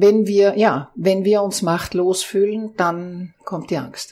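At a medium pitch, a woman speaks very slowly with fairly even intonation. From Austria. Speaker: organizational consultant. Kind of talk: interview.

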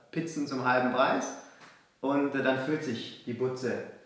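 The room echo is audible. Background noise is noticeable too. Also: man. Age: 20s. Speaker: entrepreneur. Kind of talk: casual chat.

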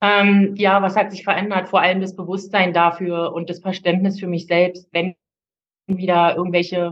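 A woman speaks in a medium pitch. Her intonation is monotone and flat. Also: moderate pace. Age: 40s. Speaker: coaching client, single mother. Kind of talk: personal testimony. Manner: halting, many fillers.

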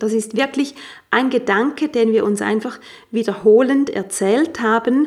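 A woman speaks at a fairly slow pace in an ordinary speaking voice, her fairly high pitch showing ordinary variation. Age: 40s. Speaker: life coach and yoga teacher. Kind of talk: podcast monologue; sales pitch.

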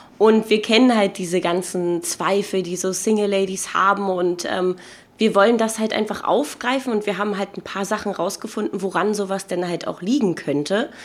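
There is noticeable background noise behind this woman. She speaks at a moderate pace, medium in pitch with ordinary variation. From Berlin. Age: 20s. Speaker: podcaster. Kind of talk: casual chat.

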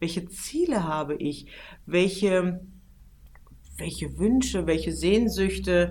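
A woman at a very slow pace with long, frequent pauses, amid audible room echo. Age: 40s. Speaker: PR manager and travel journalist. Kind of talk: interview.

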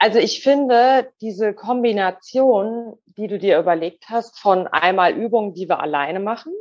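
Lively intonation and a fairly high pitch mark this woman's voice. She speaks at a very slow pace. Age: 40s. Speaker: goldsmith. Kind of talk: interview.

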